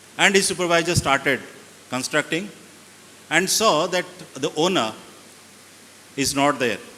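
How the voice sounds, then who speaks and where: Over noticeable background noise, a man talks with ordinary pitch variation and long, frequent pauses. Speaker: school founder and educator. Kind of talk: motivational storytelling to students. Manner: calm.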